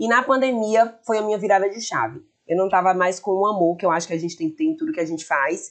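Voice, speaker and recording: Her pitch swings very widely. This woman speaks at a medium pitch. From Bahia, Brazil (Feira de Santana). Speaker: shop owner and influencer. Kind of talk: podcast interview. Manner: talkative.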